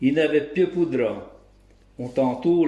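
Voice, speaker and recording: At a very slow pace, a man with a fairly high pitch speaks in a Bresse accent. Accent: rural Bresse regional dialect. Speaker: local dialect storyteller. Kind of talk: folk tale storytelling.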